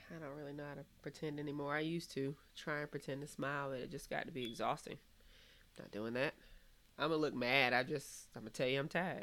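A woman speaks at a very fast pace in an animated tone. Her pitch is very deep and low. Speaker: podcast host. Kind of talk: casual chat. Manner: animated, profane.

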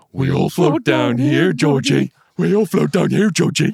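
A man uses a put-on character voice with a fairly high pitch. He speaks at a moderate pace.

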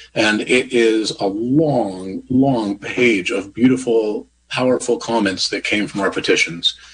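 Here is a man with an unremarkable speaking voice at a medium pitch and ordinary pitch variation. He talks at a fairly slow pace with hardly any pauses. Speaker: president of local trail stewardship group. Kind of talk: radio panel discussion.

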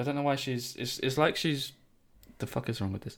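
Vocal fry runs through this man's voice as he talks very fast with ordinary pitch variation. The recording is very clean, with a silent background. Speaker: podcast editor and co-host. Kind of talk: casual conversational podcast chat. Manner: joking, irreverent.

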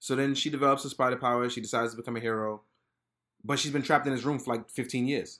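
A man with an American accent, medium in pitch, with a bright, sharp tone and monotone, flat intonation, at a very fast pace on a very clean recording with a silent background. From Brooklyn, New York (Fort Greene). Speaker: product photographer. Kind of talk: casual chat.

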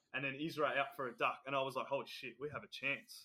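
A fairly high-pitched man with an Australian accent, a bright, sharp tone and a very fast pace. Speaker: podcast co-host. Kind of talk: casual chat.

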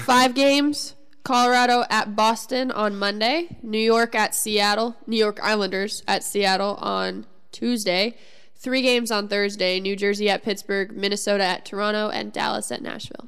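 With a Midwestern American accent, a woman talks at a moderate pace in a fairly high pitch and fairly even intonation. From US Midwest. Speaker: sports podcast co-host. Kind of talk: casual chat.

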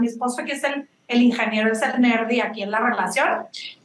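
Here a woman speaks at a high pitch. Her pace is fairly quick. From Mexico. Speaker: beauty brand founder. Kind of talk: interview. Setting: remote call.

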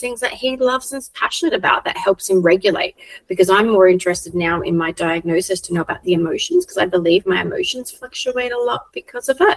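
With an Australian accent, a woman talks very fast at a medium pitch in a dry, close sound with no echo. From South Australia. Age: 40s. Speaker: children's coach. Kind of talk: casual chat. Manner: animated.

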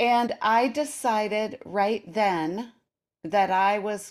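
A woman speaks at a very slow pace, with a medium pitch and ordinary pitch variation. The recording is very clean, with a silent background. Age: 60s. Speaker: intermittent fasting coach and author. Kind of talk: casual interview chat.

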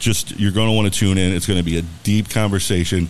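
Delivered at a fairly quick pace in an American accent, the speech sits over noticeable background noise. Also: man. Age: 50s. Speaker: radio host. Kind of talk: live radio show chat.

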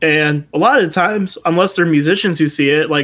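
A man's fairly high voice at a moderate pace, with fairly even intonation, on a very clean recording with a silent background. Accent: Midwestern American. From US Midwest, Toledo, Ohio. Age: 20s. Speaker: musician. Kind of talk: casual chat.

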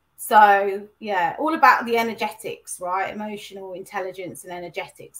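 A woman with a British accent, medium in pitch, at a moderate pace, with ordinary pitch variation. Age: 40s. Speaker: life coach. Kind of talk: interview.

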